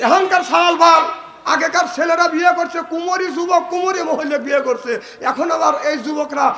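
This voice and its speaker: A man with an extremely high pitch, his voice raised and projected, with ordinary pitch variation over crowd noise in the background. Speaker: Islamic preacher. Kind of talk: humorous religious sermon to a crowd.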